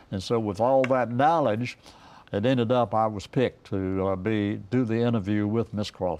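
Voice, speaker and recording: Speaking with an Eastern North Carolina accent, a man uses a fairly low pitch. His pitch variation is ordinary and his pace is moderate. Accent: Eastern North Carolina Southern US. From rural Eastern North Carolina. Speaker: retired radio broadcaster and station owner. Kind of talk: interview answer. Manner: conversational, hesitant.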